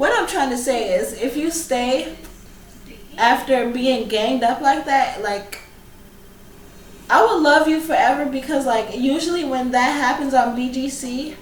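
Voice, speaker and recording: An animated tone at a fairly slow pace with ordinary pitch variation, long, frequent pauses, audible room echo and noticeable background noise. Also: woman, high pitch for a woman. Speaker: YouTuber reviewing reality TV. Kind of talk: casual vlog review.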